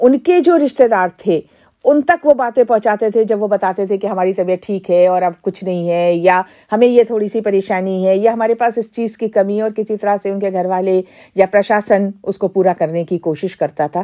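Against a quiet background, a woman with a dark, mellow tone talks at a moderate pace with ordinary pitch variation. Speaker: community radio station organizer or head. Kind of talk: interview answer. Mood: earnest, reflective. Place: studio.

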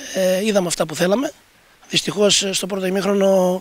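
The sound is dry, with no echo. A man with a high pitch talks at a moderate pace. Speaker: team coach. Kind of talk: post-match interview. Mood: calm, analytical. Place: stadium. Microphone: handheld.

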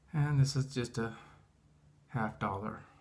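His delivery is very slow. This man sounds somewhat breathy. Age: 60s. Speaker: retired coach, firearms carrier. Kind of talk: casual talk to camera. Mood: amused, relaxed. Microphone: phone near.

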